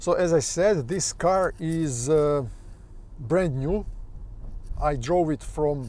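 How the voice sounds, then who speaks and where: Dark and mellow in tone, a man's fairly high voice shows ordinary pitch variation. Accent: Russian. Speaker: car vlogger. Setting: car.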